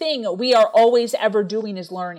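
Speaking at a moderate pace, a woman's voice moves through very wide pitch swings. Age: 30s. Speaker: entrepreneur and speaker. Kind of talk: interview testimony. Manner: high energy.

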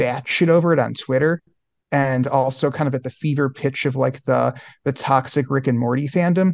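In an unremarkable speaking voice with an American accent, a man talks at a moderate pace and fairly high pitch with fairly even intonation, the sound dry and close with no echo over a quiet background. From Oklahoma, Broken Arrow. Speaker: author and journalist. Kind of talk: podcast interview.

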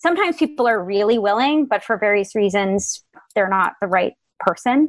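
With an American accent and a plain, everyday voice, a woman talks at a moderate pace, her fairly high pitch carrying lively intonation. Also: very even loudness. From Connecticut, Fairfield County. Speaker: writer. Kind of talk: interview.

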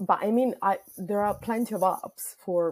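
A woman with a non-native accent and ordinary pitch variation, on a very clean recording with a silent background. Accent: foreign. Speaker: caller. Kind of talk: storytelling.

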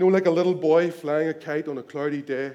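A man talks at a moderate pace in a Northern Irish accent. His pitch is fairly high, and his intonation is fairly even. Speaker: preacher. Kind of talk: sermon; dramatic narration in sermon. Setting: church.

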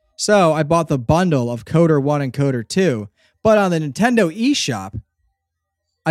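A man with an American accent talks in an animated tone at a fairly high pitch, with lively intonation. The sound is dry and close, with no echo. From southeastern Pennsylvania. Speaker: audio drama creator. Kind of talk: casual chat.

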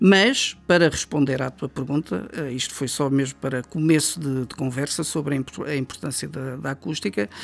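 Moderately paced speech from a man with a fairly high pitch. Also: ordinary pitch variation. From Portugal, Coimbra. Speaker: sound engineer, studio owner. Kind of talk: interview conversation. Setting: recording studio. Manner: hesitant, many fillers.

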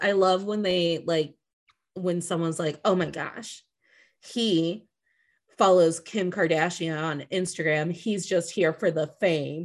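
A woman speaks at a very slow pace with fairly low pitch. Her pitch varies in an ordinary way over a quiet background. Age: 30s. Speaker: podcast host. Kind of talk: casual chat. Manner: animated.

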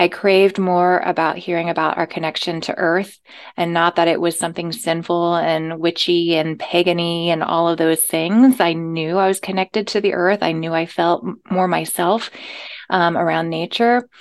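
In an American accent, a woman uses an ordinary speaking voice at a fairly low pitch, with fairly even intonation and a moderate pace over a quiet background. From US South. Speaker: life coach. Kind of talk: interview.

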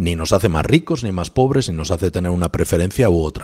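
A man's very fast speech with lively intonation and a dark, mellow tone. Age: 50s. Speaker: economics professor. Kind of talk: interview. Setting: remote call from office.

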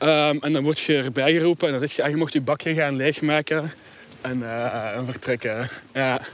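Fairly even intonation at a moderate pace. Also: man. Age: young. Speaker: sociologist and philosopher. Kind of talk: casual conversation on a walk. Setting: outdoors, walking.

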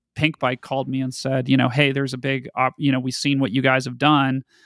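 In a very clean recording with a silent background, a man with a General American accent speaks at a medium pitch, the sound dry and close with no echo. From Colorado. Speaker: media company CEO. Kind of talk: interview. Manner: hesitant fillers.

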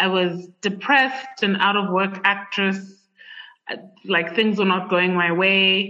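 Very slowly and with very even loudness, a woman with an American accent speaks in fairly even intonation. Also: medium pitch for a woman. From Zambia. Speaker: writer and podcast host. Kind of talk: casual interview conversation. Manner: adaptive, code-switching speech.

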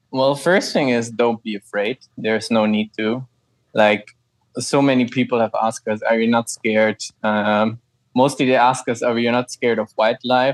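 Recorded very cleanly with a silent background and a dry, close sound with no echo, a man with a German accent speaks at medium pitch and a moderate pace in a monotone, flat intonation. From Germany, Frankfurt. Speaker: ecologist and cycle tourer. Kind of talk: interview.

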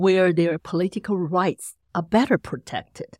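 A woman with a Chinese accent speaks at a medium pitch on a very clean recording with a silent background. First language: Mandarin Chinese. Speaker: associate professor of communication. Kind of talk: interview.

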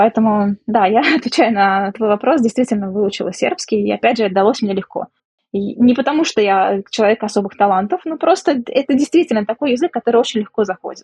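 A woman with an ordinary speaking voice talks at a fairly quick pace, her fairly high voice showing lively intonation in a dry, close recording with no echo. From Russia, Samara. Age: 30s. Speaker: economist and businesswoman, emigrant. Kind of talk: interview.

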